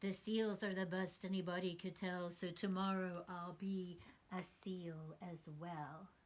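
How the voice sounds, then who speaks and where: A woman's put-on character voice at a medium pitch, fairly slow, with monotone, flat intonation. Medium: read story.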